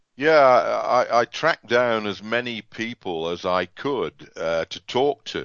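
Speaking at a very slow pace with hardly any pauses, a man talks with an English accent. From England. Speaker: author and automotive industry veteran. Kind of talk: interview.

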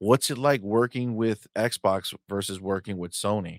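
Here a man talks at a moderate pace in an animated tone, his pitch fairly low. The recording is very clean, silent in the background, and dry and close with no echo. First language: English (heritage Spanish speaker). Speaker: gaming podcast co-host. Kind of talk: casual chat. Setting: live stream.

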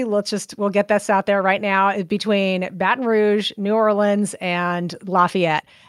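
A woman at a fairly high pitch and moderate pace, with an American accent, in a very clean recording with a silent background and a dry, close sound with no echo. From California Central Coast. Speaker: podcast producer. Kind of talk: interview.

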